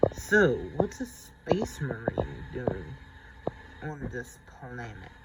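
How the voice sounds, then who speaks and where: Using a put-on character voice at a medium pitch, a man speaks at a very slow pace over light background noise. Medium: read story.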